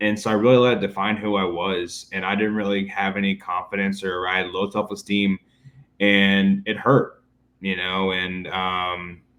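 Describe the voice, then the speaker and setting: A man speaks at a moderate pace. His fairly low voice stays monotone and flat. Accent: American. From Jacksonville, Florida. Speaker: entrepreneur and speech therapist. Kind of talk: podcast interview. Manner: frequent fillers and repetitions.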